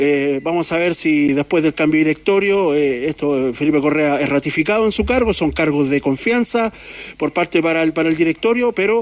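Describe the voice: A man talks at a fairly quick pace with few pauses. His pitch is fairly high, with ordinary pitch variation.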